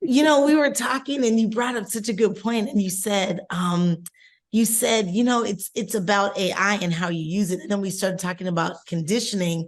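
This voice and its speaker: A plain, everyday voice moves at a moderate pace with ordinary pitch variation against a quiet background. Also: woman. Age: 50s. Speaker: podcast co-host. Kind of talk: casual chat.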